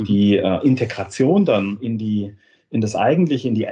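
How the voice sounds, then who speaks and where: A somewhat breathy quality marks this man's voice. It sits at a medium pitch. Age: 50s. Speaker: software company managing director. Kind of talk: interview. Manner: halting, many repetitions and fillers.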